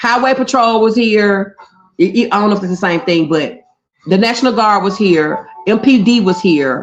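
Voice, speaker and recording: A woman's lively intonation in a strong Memphis accent, with music in the background. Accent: Memphis drawl, strong. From US South, Memphis, Tennessee. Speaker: livestreamer. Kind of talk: casual chat.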